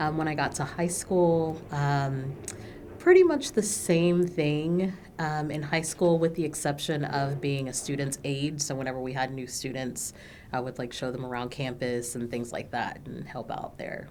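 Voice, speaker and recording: Speaking in an American accent, a woman has a very deep, low voice with ordinary pitch variation and a moderate pace. Audible room echo surrounds her. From Texas, Dallas area. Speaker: minister. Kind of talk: oral history interview. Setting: recording studio. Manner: hesitant, many filler words.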